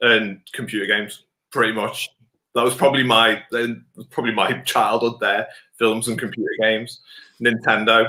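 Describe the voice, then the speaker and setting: At a moderate pace, a man talks in a medium pitch with monotone, flat intonation. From northwest England, Wirral. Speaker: beard club president and teacher. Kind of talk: casual interview chat. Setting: remote video call.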